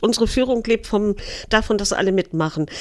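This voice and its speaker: With a northern German accent, a woman speaks with ordinary pitch variation. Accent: Low German tinge. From Eckernförde, Schleswig-Holstein. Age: 60s. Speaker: city tour guide. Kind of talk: casual interview.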